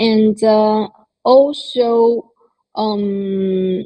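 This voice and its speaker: A woman with a Chinese accent speaks at a fairly high pitch in a dark, mellow tone. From China. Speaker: crypto media co-founder. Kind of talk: panel discussion. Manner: halting, many fillers.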